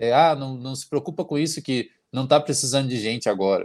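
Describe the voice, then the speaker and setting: Very cleanly recorded against a silent background, a man with a fairly high pitch speaks in an energetic tone with ordinary pitch variation. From Paraná, Brazil. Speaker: flight attendant. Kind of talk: casual interview.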